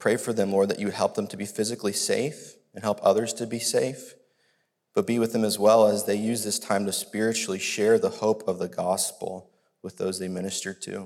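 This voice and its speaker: Here a man with a normal speaking voice talks at a fairly quick pace. His pitch is fairly low, his intonation fairly even. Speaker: church member leading prayer. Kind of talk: prayer.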